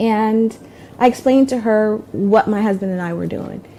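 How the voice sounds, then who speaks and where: Over noticeable background noise, a woman talks at a medium pitch with an American accent. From Durham, North Carolina, USA. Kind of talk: interview answer. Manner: casual, conversational with hesitations.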